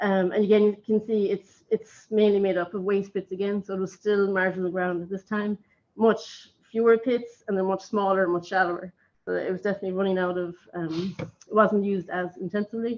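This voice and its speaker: In an Irish accent, a woman talks fairly quickly at a medium pitch with monotone, flat intonation. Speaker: archaeologist. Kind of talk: conference talk. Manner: fast; hesitant, many fillers.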